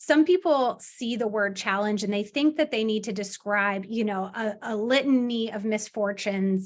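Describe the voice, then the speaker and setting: A woman's normal speaking voice, fairly high in pitch with ordinary variation, at a moderate pace over a quiet background. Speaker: workshop trainer. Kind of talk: workshop presentation.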